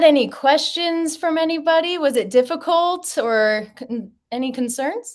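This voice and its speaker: Loud and high-pitched, a woman talks with lively intonation and hardly any pauses over a quiet background. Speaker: physical therapist. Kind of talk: tutorial. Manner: loud and clear. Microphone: no microphone worn.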